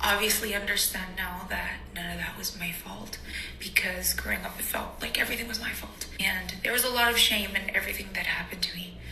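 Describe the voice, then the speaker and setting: A woman with a Spanish accent is heard over noticeable background noise, with audible room echo. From US, Mexican family. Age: 20s. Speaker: vlogger sharing life story. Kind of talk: personal testimony.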